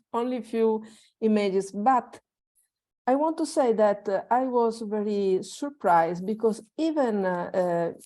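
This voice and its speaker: A woman with an Italian accent speaks at a moderate pace in a dark, mellow tone, her pitch fairly high and its variation ordinary. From Italy. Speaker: workshop participant. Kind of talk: sharing in online group. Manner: halting, many fillers.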